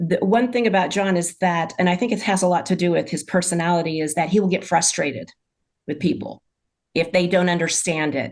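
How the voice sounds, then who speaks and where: A woman talks at a fairly quick pace in a normal speaking voice, fairly low in pitch with ordinary pitch variation, against a quiet background. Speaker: medium. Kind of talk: casual chat.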